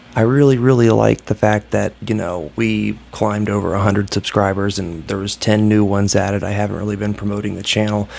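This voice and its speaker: His voice is fairly low in pitch. The man's delivery moves fairly quickly. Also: hardly any pauses. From Ohio, US Midwest. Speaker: YouTuber vlogger. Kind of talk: casual vlog monologue. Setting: hotel room. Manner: subdued, keeping voice down; halting, many fillers.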